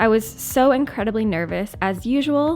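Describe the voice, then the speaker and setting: Music plays in the background as a woman speaks. She has an American accent and lively intonation. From US South, Mississippi. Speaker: artist. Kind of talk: casual monologue. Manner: casual.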